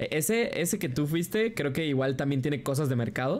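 Speaking at a moderate pace with a western Mexican accent, a man uses a fairly high pitch, an animated tone and lively intonation. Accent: Mexican Spanish (western Mexico). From Guadalajara, Mexico. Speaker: streamer. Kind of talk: casual reaction chat. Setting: livestream.

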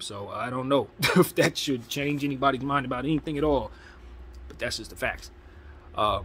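A man at a moderate pace, with big swings in loudness over light background noise. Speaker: sports fan vlogger. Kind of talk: casual commentary. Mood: relaxed, mildly opinionated. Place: home room. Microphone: phone near.

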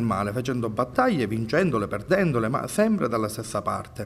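A somewhat breathy man at a fairly quick pace with lively intonation. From Sicily. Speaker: politician; candidate. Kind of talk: interview. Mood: earnest, persuasive. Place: studio. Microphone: handheld.

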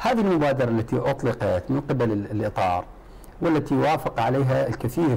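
This man talks with lively intonation at a medium pitch. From Iraq. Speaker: politician from a parliamentary coalition. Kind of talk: televised political debate. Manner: animated. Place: studio.

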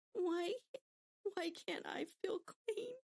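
A female-sounding, put-on character voice comes out shaky at an extremely high pitch.

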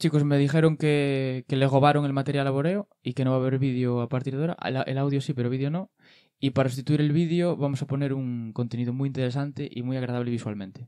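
A man speaks with fairly even intonation and a dark, mellow tone. The background is quiet. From Andalusia, Spain. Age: 30s. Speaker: comedian. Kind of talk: comedic banter. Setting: studio. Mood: joking, playful. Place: studio. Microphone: studio mic.

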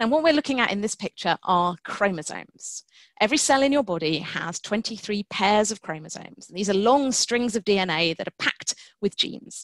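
A woman speaks at a moderate pace with lively intonation, the sound dry with no echo and the background quiet. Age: 40s. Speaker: science writer and geneticist. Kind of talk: webinar talk. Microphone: webcam.

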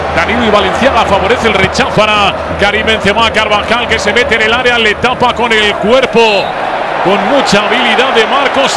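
Over noticeable background noise, a high-pitched man speaks in a raised, projected voice at a fairly quick pace, his tone excited and animated. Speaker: football commentator. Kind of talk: live football commentary. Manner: fast, excited, animated play-by-play delivery; rapid-fire, clipped short phrases.

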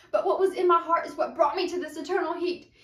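Over a quiet background with audible room echo, a woman speaks in a dramatic tone at an extremely high pitch. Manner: dramatic, earnest rhythmic delivery with rhyming cadence; direct pleading address to the listener, rising urgency. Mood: earnest, emotional. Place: home room. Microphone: camera far.

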